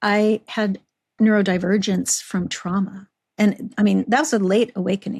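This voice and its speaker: Her intonation stays fairly even at a medium pitch. The woman's voice is somewhat breathy. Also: moderate pace, dry, close sound with no echo. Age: 60s. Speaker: podcast host. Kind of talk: casual chat.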